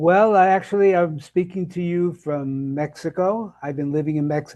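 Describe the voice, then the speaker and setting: A man with an American accent, high in pitch yet dark and mellow in tone, with ordinary pitch variation and a moderate pace over a quiet background. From Brooklyn, New York. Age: 80s+. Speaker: health and nutrition coach. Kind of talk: interview conversation. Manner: halting, many fillers and restarts.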